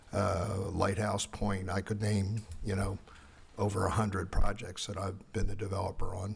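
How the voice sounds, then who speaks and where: A man speaks slowly at fairly low pitch, his voice somewhat breathy. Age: 80s+. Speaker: architect and developer. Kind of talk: public hearing presentation. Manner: halting, many fillers.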